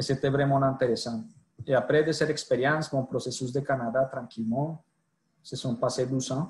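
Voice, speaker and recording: A man's somewhat breathy, medium-pitched voice with a Colombian accent, fairly even intonation and a moderate pace. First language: Spanish (speaking French). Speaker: sales director. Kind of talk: podcast interview. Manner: halting.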